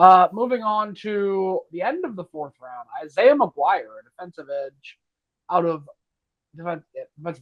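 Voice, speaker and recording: A man speaks at a moderate pace at a high pitch. His voice makes very wide pitch swings and big swings in loudness. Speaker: sports podcast co-host. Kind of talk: casual sports discussion. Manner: stumbles over words at times.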